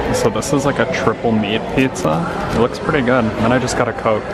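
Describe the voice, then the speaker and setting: Music plays in the background of a dry sound with no echo. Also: man. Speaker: travel vlogger. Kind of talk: casual vlog chat. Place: cafe. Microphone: phone near.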